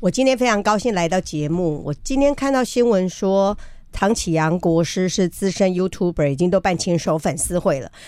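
Her medium pitch and lively intonation shape an unremarkable speaking voice as this woman talks at a moderate pace. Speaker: journalist and biographer. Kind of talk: radio interview.

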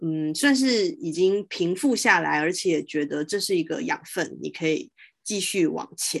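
A woman's fairly low voice with vocal fry, a fairly slow pace and lively intonation, over a quiet background. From Taiwan, Taoyuan. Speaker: podcast host. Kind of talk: interview conversation. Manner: hesitant, many fillers.

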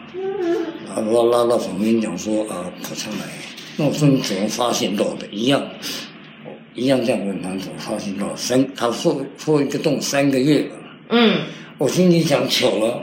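Speaking at a medium pitch and a moderate pace, a man uses lively intonation. Audible room echo and noticeable background noise fill the recording. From Taiwan, military dependents' village. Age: 50s. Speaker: cancer survivor. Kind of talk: interview.

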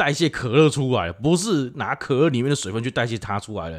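With very wide pitch swings, a man talks on a very clean recording where the background is silent. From Taiwan, Pingtung (southern). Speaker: podcast co-host. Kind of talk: casual chat.

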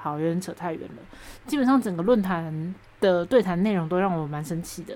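Woman with a Taiwanese accent, dark, mellow tone, fairly low pitch, lively intonation and a fairly quick pace. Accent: Taiwanese Mandarin. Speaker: podcast host. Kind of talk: solo podcast monologue. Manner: animated.

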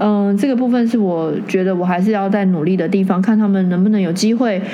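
A woman talks at a fairly quick clip with fairly even intonation, her voice carrying audible room echo over noticeable background noise. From Taiwan, Taoyuan. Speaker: interior designer and councillor's assistant. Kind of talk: casual interview chat.

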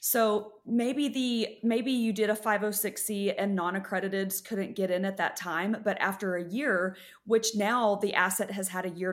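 An unremarkable speaking voice at a moderate pace, with ordinary pitch variation, on a very clean recording over a silent background. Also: woman. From West Texas. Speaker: real estate syndicator and investor. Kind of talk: interview.

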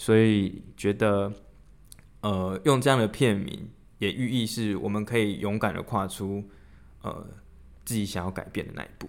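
A man's fairly low voice at a fairly slow pace, with fairly even intonation and long, frequent pauses. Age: 30s. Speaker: podcast co-host. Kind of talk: casual chat.

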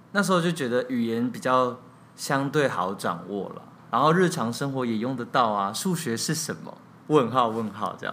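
A man talks in a normal speaking voice, his medium pitch carrying lively intonation at a moderate pace. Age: 30s. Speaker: theatre director and playwright. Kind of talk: interview.

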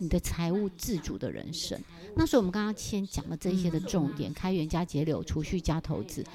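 Animated in tone, a woman with a fairly low pitch, ordinary pitch variation and vocal fry talks at a fairly quick pace. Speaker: personal finance author and retired university teacher. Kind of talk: casual interview chat. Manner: projected, stage-like delivery.

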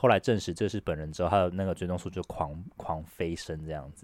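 The recording is very clean with a silent background and a dry, close sound with no echo. A man with a Taiwanese accent speaks at a very fast pace in a very deep, low pitch. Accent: Taiwanese Mandarin. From Taiwan, Taipei. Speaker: podcast co-host. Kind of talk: casual chat.

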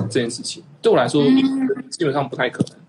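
Over noticeable background noise, a man speaks at a fairly quick pace with very wide pitch swings. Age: 30s. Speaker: animation director, online community founder. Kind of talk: casual chat.

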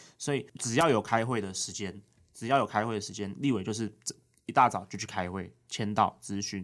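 Speaking in a normal speaking voice at a moderate pace, a man with a fairly low pitch and ordinary pitch variation is heard on a very clean recording with a silent background. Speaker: legislator's aide. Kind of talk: casual interview.

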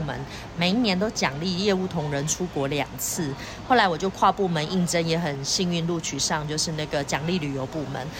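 Against noticeable background noise, a woman speaks at a fairly quick pace and fairly low pitch with ordinary pitch variation. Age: 40s. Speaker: insurance and financial advisor. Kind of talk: interview.

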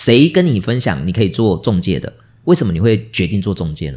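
On a very clean recording with a silent background, a man with vocal fry talks fairly quickly, his pitch swinging very widely. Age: middle-aged. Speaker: podcast host. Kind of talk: interview. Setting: office. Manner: animated.

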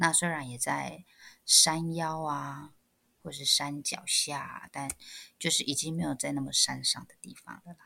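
On a very clean recording with a silent background, a woman speaks at a fairly slow pace in an animated tone, with big swings in loudness. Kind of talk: casual chat. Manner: animated, laughs often.

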